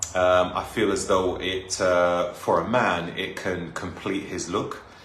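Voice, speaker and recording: A man speaks in a London accent with audible room echo. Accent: London accent, sounds clearly British. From North London, England. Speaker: live streamer. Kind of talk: casual chat. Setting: live stream.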